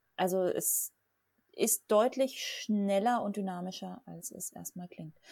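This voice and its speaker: A woman is the speaker. The tone she uses is dark and mellow. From southern Germany (Lech area). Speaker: board game podcast host. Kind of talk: casual chat.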